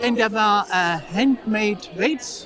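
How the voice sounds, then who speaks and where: A woman speaks with lively intonation over crowd noise, her voice carrying an audible room echo. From eastern Germany, Saxony. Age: 60s. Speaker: powerlifter and national team manager. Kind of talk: interview. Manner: halting. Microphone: poor audio quality.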